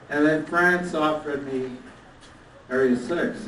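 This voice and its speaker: Someone speaks with a Canadian accent. The room echo is audible, and background noise is noticeable. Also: man. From Canada, Toronto. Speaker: toastmasters leader. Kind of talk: anniversary speech.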